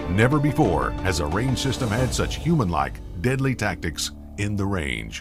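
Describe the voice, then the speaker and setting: Over music in the background, a man with a fairly low pitch swings his pitch very widely. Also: moderate pace. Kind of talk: product promo narration. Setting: studio.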